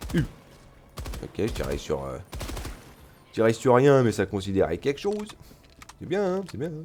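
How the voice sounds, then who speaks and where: Amid noticeable background noise, a man of medium pitch speaks at a moderate pace with very wide pitch swings, big swings in loudness and long, frequent pauses. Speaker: gaming streamer. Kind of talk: gameplay commentary. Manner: animated.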